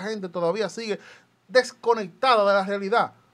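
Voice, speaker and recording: This is a man speaking. He keeps a moderate pace. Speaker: political party activist. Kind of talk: political commentary.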